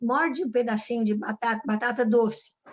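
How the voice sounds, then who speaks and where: This is a woman's voice. Her pitch sits high. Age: 80s+. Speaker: community group participant. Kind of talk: casual chat. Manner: halting.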